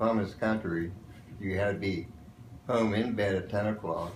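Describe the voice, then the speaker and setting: Recorded with audible room echo, a man in an American accent speaks at a moderate pace. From western Pennsylvania. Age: 70s. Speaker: war veteran. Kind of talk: interview.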